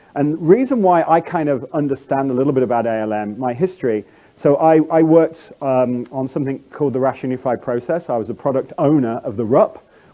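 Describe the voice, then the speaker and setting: Over noticeable background noise, a man with a fairly high pitch talks at a very fast pace with ordinary pitch variation. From England. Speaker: conference speaker, software executive. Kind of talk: conference talk. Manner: halting, many fillers and restarts.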